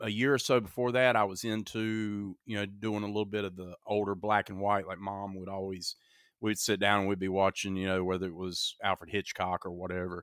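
Fairly low in pitch, a man speaks at a moderate pace. The recording is very clean, with a silent background. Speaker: horror podcast host. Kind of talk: casual chat. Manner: animated.

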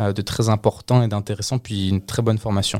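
A man's fairly low, monotone, flat voice at a fairly quick pace on a very clean recording with a silent background. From France (raised mainly in France since 2007, born in Colombia, lived in Canada). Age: 20s. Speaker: work-study student. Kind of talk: interview.

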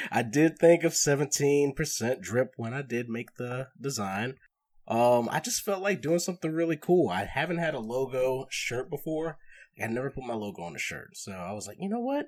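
A man's unremarkable speaking voice at medium pitch, with a moderate pace, lively intonation and big swings in loudness. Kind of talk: casual chat.

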